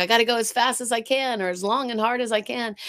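In an American accent, a woman talks at a moderate pace, the sound dry and close with no echo on a very clean recording with a silent background. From South Carolina, US. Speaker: art expert and life coach. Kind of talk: casual interview chat.

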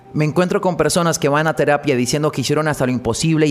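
A man with a fairly high pitch and ordinary pitch variation, over music in the background. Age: 40s. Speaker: psychologist podcast host. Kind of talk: solo monologue podcast.

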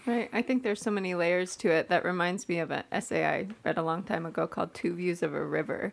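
In a very clean recording with a silent background, a woman with vocal fry talks at a very fast pace with hardly any pauses, her fairly low pitch showing ordinary variation. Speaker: church staff member. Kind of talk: casual chat.

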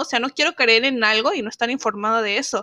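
A woman's fairly high, bright, sharp voice with ordinary pitch variation, dry and close with no echo. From Zacatecas, northern Mexico. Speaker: podcast host, feminist activist. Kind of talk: solo podcast monologue. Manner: animated, passionate.

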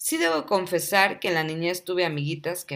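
A warm, animated tone in a very clean recording with a silent background. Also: woman. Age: 30s. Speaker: podcast host. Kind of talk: personal storytelling monologue.

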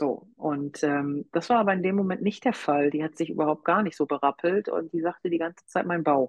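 A woman talks in a normal speaking voice. Her fairly low pitch shows ordinary variation. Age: 40s. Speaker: hobby-horsing coach and association manager. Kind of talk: interview.

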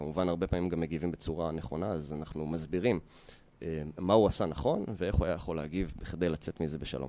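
A man's very deep, low voice with a dark, mellow tone, very fast pace and fairly even intonation. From Israel, Yehud. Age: 30s. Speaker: fitness entrepreneur and martial arts coach. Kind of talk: interview.

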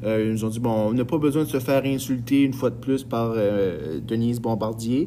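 Hardly pausing, a man talks with ordinary pitch variation amid noticeable background noise. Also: medium pitch for a man, moderate pace. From northern New Brunswick, Edmundston. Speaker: high school French teacher, podcast host. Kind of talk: casual podcast monologue. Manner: hesitant, many fillers.

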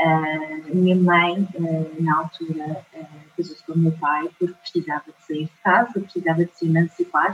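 A woman talks at a moderate pace with a fairly low pitch. Her intonation is monotone and flat, while her loudness swings widely. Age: 30s. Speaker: mind trainer. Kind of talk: testimony. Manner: hesitant, many fillers.

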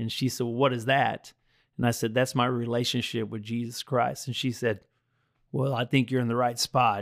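A man with an American accent speaks at medium pitch and a moderate pace. His intonation is monotone and flat on a very clean recording with a silent background. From US military bases, mostly Texas. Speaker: roofing business owner. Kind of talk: personal testimony in casual interview.

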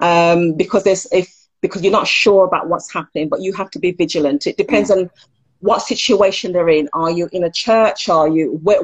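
A woman's normal speaking voice, medium in pitch, at a fairly quick pace with ordinary pitch variation. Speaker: counsellor. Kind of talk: interview.

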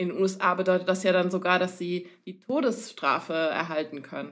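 A woman's plain, everyday voice, medium in pitch, at a moderate pace. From Cologne region, Germany (rural). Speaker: podcast co-host. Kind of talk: casual chat.

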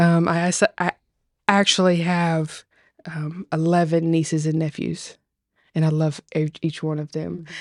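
In a Tennessee accent, a woman speaks at a fairly slow pace with a fairly low pitch and monotone, flat intonation. The recording is very clean, with a silent background and a dry, close sound with no echo. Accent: Southern US (Tennessee). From Tennessee, US South. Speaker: agriculturalist, farm lover. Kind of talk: casual chat, personal testimony. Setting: podcast table conversation.

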